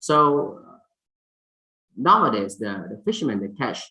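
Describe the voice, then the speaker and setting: A man's fairly high, bright, sharp voice in a Thai accent at a fairly slow pace. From Thailand. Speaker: fisheries scientist, symposium speaker. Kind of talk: conference presentation. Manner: halting, many fillers.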